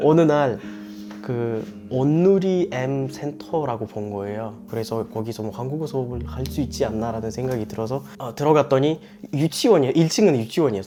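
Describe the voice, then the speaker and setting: Noticeable background noise behind a male speaker with lively intonation. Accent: Uzbek. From Uzbekistan. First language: Uzbek (speaking Korean). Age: 20s. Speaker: immigrant interviewee. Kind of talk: interview. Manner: halting.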